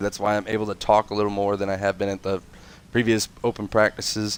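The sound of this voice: A man speaks at a fast pace. His voice is nasal and fairly low in pitch.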